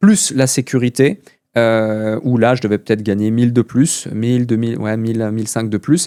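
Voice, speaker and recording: The voice has a dark, mellow tone, moving at a moderate pace with fairly even intonation in dry, close sound with no echo. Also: man, medium pitch for a man. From Switzerland. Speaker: entrepreneur. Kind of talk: podcast interview.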